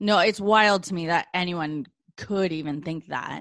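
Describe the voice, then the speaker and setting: Lively intonation at a moderate pace in an ordinary speaking voice. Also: woman. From Canada. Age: 30s. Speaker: podcast host. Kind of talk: casual interview.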